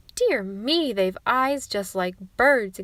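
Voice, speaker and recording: A woman performs in a put-on character voice. Her fairly high pitch moves with lively intonation. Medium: read story.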